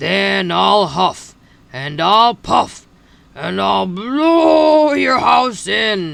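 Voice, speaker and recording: At a very slow pace, a man delivers his lines in a put-on character voice. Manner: growling.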